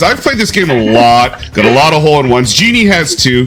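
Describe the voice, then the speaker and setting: A man races along at a very fast pace with very wide pitch swings while music plays in the background. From British Columbia, Canada. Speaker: video game host. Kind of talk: live game commentary. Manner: animated.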